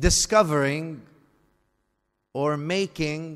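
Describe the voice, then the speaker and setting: With an Arabic accent, a man speaks at a very slow pace in a fairly high pitch with ordinary pitch variation. The recording is very clean, its background silent. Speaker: Islamic scholar. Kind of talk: religious lecture.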